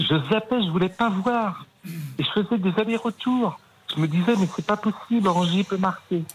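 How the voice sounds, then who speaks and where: A man holds a very even loudness while speaking at a high pitch. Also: ordinary pitch variation, moderate pace. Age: 50s. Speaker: Nantes fan, radio contributor. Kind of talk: emotional testimony.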